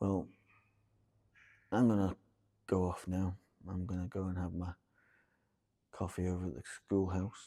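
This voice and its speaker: A quiet, dark, mellow tone at a moderate pace, monotone and flat, with long, frequent pauses, on a very clean recording with a silent background. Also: man, very deep, low pitch for a man. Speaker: vlogger living with a chronic illness. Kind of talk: casual vlog monologue. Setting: inside an old church. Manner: quiet, hushed.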